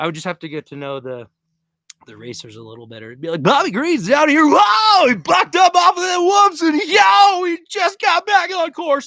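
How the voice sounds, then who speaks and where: An energetic man speaks at a moderate pace with big swings in loudness, in a dry, close sound with no echo. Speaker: overlanding vlogger. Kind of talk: live stream chat.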